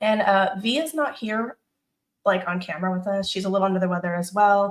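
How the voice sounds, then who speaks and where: A woman speaks at a medium pitch with ordinary pitch variation. Her voice is somewhat breathy and her pace fairly quick. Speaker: channel host of ex-Scientologist support show. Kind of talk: live-stream book club interview. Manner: animated.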